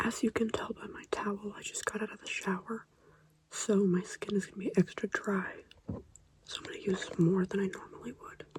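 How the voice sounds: A woman whispers at a moderate pace. Her voice has a husky, rough edge.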